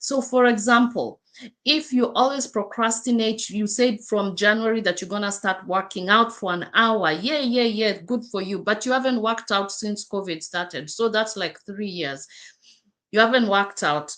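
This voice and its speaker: A woman with a fairly high pitch and an African accent, at a moderate pace with ordinary pitch variation. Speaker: life coach. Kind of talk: livestream talk. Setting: live stream. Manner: halting.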